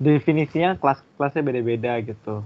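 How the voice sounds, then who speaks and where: An ordinary speaking voice, a man at a moderate pace. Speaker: podcast co-host. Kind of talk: casual chat.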